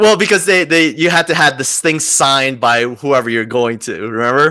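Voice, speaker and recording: A man's fairly high, bright, sharp voice with a New Jersey accent, lively intonation and a moderate pace. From New Jersey (Wayne). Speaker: podcast co-host. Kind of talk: casual chat.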